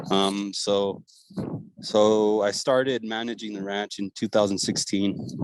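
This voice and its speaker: Speaking at a fairly slow pace, a man with a fairly low pitch talks with monotone, flat intonation. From northern Chihuahua, Mexico. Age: 20s. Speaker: cattle rancher. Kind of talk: interview. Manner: halting, many fillers and repeats.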